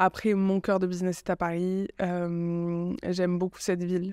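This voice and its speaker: A woman speaks with a southern French accent. The sound is dry and close, with no echo, on a very clean recording with a silent background. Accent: Aveyron. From southern France, Aveyron. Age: 30s. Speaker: communications agency founder. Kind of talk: podcast interview. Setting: hotel.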